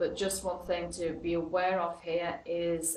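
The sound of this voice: A woman speaks at a fairly low pitch. Room echo is audible.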